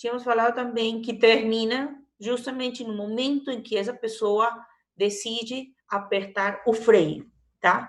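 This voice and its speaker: Room echo can be heard clearly. Delivery is rather slow, with fairly level intonation. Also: woman. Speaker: university lecturer. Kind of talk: online lecture.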